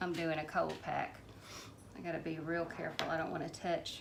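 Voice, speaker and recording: A woman with a Southern US accent speaks in a bright, sharp tone, and room echo can be heard. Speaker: home canning vlogger. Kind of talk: casual how-to demonstration. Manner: mumbling; hesitant, many fillers.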